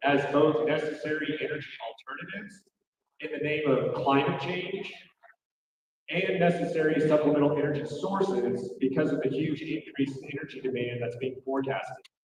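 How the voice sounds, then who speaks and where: In an American accent, a man with a fairly high pitch speaks at a moderate pace with big swings in loudness and audible room echo. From Oklahoma City. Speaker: state representative. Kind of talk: political speech.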